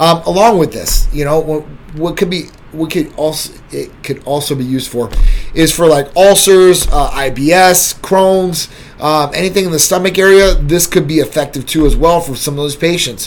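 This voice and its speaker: A man talks at a moderate pace, his high pitch moving with ordinary variation. Noticeable background noise runs behind him. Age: 40s. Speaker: livestream host and medical clinic CEO. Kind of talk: casual livestream talk answering viewer comments. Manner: casual and conversational.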